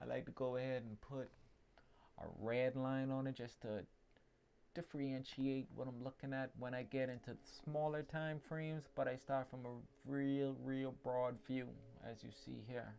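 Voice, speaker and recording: Speaking in a Caribbean accent, a man delivers his words at a medium pitch with monotone, flat intonation and a dark, mellow tone. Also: moderate pace. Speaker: trading analyst. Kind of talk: tutorial. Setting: livestream. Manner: casual.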